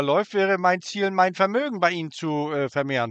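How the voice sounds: A man with a fairly high, fairly bright voice and a clear, smooth tone speaks at a fairly quick pace with ordinary pitch variation.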